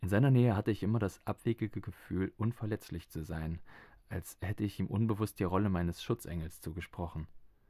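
A man talks at a fairly quick clip in a dark, mellow, fairly low voice, with ordinary pitch movement and a dramatic tone, recorded dry and close with no echo. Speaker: audiobook narrator. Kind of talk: literary audiobook reading, first-person novel narration. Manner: measured, atmospheric, dramatic.

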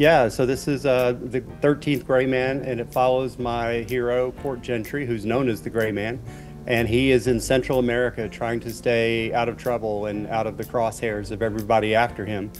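A man at a moderate pace with hardly any pauses, clear music in the background. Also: fairly even intonation. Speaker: remote guest. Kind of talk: interview answer. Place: home room. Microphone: earbuds.

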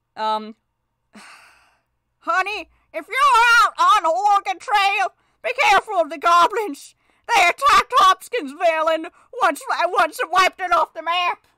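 A woman's put-on character voice, extremely high-pitched, with long, frequent pauses. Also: moderate pace.

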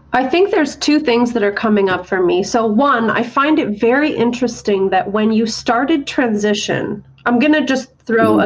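Over noticeable background noise, a woman with a fairly high pitch speaks at a moderate pace, her loudness very even and her intonation lively. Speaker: therapist and podcast co-host. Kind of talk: interview.

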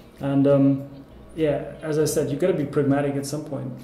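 Noticeable background noise runs under a man's voice. He speaks at a fairly quick pace with monotone, flat intonation. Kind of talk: interview answer. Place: meeting room.

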